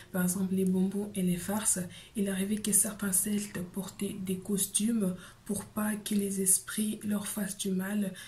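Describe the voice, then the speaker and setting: Somewhat breathy and at medium pitch, a woman speaks at a fairly slow pace with monotone, flat intonation and very even loudness, with audible room echo. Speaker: YouTuber. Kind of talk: explainer video. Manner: soft-spoken.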